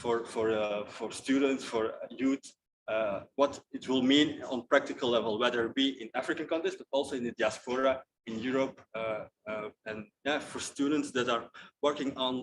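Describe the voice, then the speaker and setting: The man speaks at a moderate pace in a medium pitch. His intonation stays fairly even. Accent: non-native. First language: not English. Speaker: youth diaspora platform representative. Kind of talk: panel discussion. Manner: halting.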